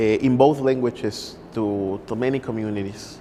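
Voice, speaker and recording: There is noticeable background noise behind this recording. A man speaks very slowly with a Spanish accent. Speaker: poet. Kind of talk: interview. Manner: halting.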